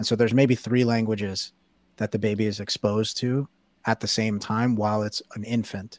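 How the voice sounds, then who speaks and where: In a very clean recording with a silent background, a man speaks in a fairly low, monotone voice with flat intonation, the sound dry and close with no echo. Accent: New York. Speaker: writer. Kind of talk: casual chat.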